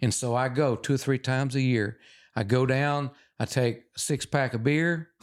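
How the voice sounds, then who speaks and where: On a very clean recording with a silent background, a man with a Texan accent talks at a moderate pace in a medium-pitched voice at a very even loudness. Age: 70s. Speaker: wildlife photographer and former trapper. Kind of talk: casual interview chat.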